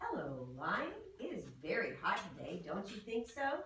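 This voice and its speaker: Someone performs a put-on character voice at a fairly high pitch, with a slight echo. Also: moderate pace. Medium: read story. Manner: sly.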